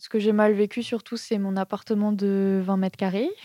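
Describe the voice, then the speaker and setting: Recorded dry and close with no echo, a woman at a medium pitch speaks with a dark, mellow tone and monotone, flat intonation. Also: very clean recording, silent background. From France, Strasbourg (Alsace). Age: 20s. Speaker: young job seeker, aspiring tattoo artist. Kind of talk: interview testimony. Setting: host's apartment. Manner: hesitant, many fillers.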